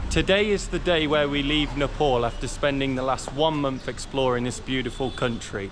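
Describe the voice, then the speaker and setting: Noticeable background noise sits behind a man speaking at a fairly quick pace and medium pitch with ordinary pitch variation. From UK. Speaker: travel vlogger. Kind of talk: travel vlog narration. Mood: upbeat, relieved. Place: street. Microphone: phone near.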